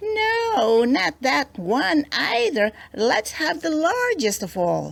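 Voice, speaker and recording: A woman uses a put-on character voice, high in pitch and confident in tone. She speaks at a very slow pace. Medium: read story. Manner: crafty, confident.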